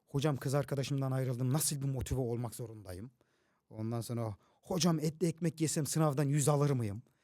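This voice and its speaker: Dark, mellow tone from a man, delivered at a moderate pace. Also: very clean recording, silent background. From Toros Mountains, southern Turkey. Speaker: teacher and social media content creator. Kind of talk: casual interview chat. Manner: animated, loud, energetic.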